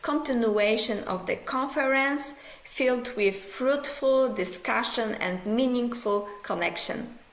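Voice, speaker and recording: A woman speaks at a very slow pace. Her voice comes with audible room echo and noticeable background noise. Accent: Polish. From Poland. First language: Polish. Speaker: psychology professor. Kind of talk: pre-recorded conference lecture. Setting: pre-recorded video.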